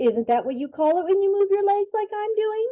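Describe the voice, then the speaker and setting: A woman does a put-on character voice, squeaky and extremely high-pitched, with a cheerful tone and very wide pitch swings. She talks at a fairly quick pace. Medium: read story. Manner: cheerful, literal.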